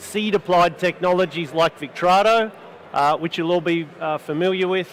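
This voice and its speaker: High-pitched male speech with an Australian accent, fairly even intonation, and noticeable background noise. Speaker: panel moderator, seed company institute lead. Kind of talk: panel discussion. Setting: studio with live audience.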